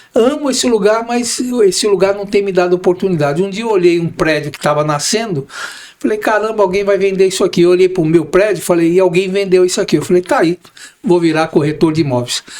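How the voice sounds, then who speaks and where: Talking very fast in a high voice, a man shows ordinary pitch variation while noticeable noise fills the background. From Brazil, São Paulo. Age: 60s. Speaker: real estate broker and manager. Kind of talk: podcast interview.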